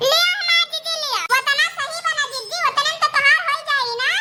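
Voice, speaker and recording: In a cartoonish character voice, a woman speaks at a moderate pace with extremely high pitch and very wide pitch swings. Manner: rustic Awadhi village talk.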